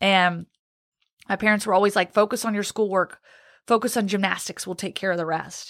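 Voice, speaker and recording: Speaking fairly quickly with long, frequent pauses, a woman with an American accent keeps a medium pitch and fairly even intonation in a dry, close sound with no echo. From Virginia, US (Roanoke). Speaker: sports reporter. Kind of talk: testimony.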